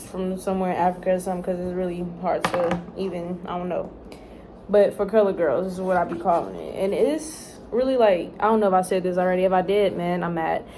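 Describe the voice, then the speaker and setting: The delivery is very fast, with fairly even intonation. Noticeable background noise sits behind it. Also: woman, medium pitch for a woman. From Texas. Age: young. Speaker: college student. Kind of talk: casual talk to camera. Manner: rambling.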